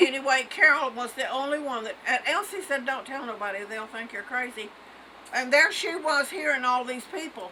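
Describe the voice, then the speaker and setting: Over noticeable background noise, a woman speaks in a raised, projected voice at high pitch and a moderate pace, with big swings in loudness. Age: 80s+. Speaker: elderly mother telling a personal story. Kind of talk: casual family chat. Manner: halting.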